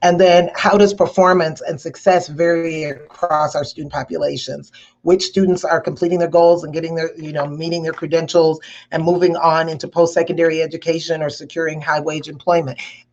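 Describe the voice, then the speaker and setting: A woman at a fairly quick pace, with monotone, flat intonation and big swings in loudness. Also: fairly low pitch for a woman. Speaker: education conference presenter. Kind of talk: conference presentation. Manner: fast.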